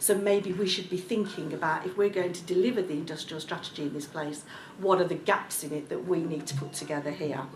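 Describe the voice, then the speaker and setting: Talking at a very fast pace with a Birmingham accent, a woman uses a fairly low pitch and ordinary pitch variation, with noticeable background noise and audible room echo. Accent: Birmingham (Brummie). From Birmingham, England. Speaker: local government executive, panel speaker. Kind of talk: panel discussion speech. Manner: hesitant, with frequent ums.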